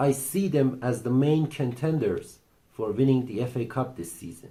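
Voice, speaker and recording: A dark, mellow tone and a somewhat breathy quality mark this man's voice. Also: medium pitch for a man, ordinary pitch variation, moderate pace. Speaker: football channel host. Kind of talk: casual commentary monologue. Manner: halting, repeats himself.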